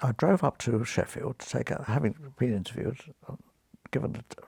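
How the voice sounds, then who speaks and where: A man's medium-pitched voice with vocal fry, fairly quick, in a dry, close sound with no echo. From London, East End. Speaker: retired surgeon. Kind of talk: interview storytelling. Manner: halting, repeating words.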